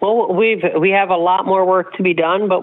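Noticeable noise in the background accompanies speech delivered at a moderate rate. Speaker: animal rights advocate. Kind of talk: radio interview.

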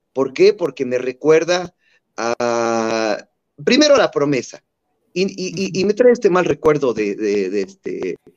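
A man with a Mexican accent talks at a fairly high pitch with very wide pitch swings. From Mexico. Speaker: marathon runner. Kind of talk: interview.

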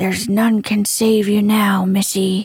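A woman puts on a hissing character voice at a medium pitch, speaking fairly slowly in a flat monotone. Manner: hissing, threatening.

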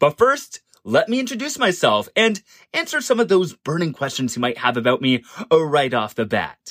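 In a very clean recording with a silent background and a dry, close sound with no echo, a man with a fairly high pitch talks at a moderate pace, his pitch swinging very widely. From Canada, Ontario. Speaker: podcast contributor, theme park YouTuber. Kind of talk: scripted introduction.

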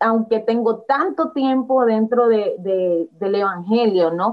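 A woman speaks with a coastal Ecuadorian accent at a fairly high pitch. Her pace is very slow. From Ecuador, Guayaquil. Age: young. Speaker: young church leader. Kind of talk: casual Bible discussion. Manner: animated.

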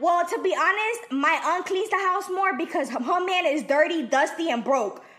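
A woman speaks in an extremely high voice with an animated tone and lively intonation, over noticeable background noise and audible room echo. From El Salvador. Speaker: podcast co-host. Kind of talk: casual chat.

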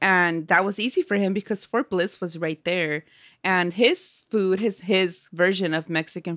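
The pitch shifts an ordinary amount in this unforced reading voice.

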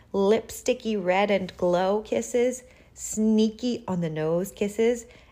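Pitch moves in an ordinary way as the speaker reads aloud in a natural voice.

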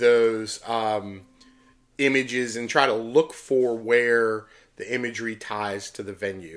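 A man with an American accent speaks in an ordinary speaking voice at medium pitch. His pace is fairly slow and his intonation fairly even. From Pittsburgh, Pennsylvania. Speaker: podcast host, concert poster collector. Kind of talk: casual chat.

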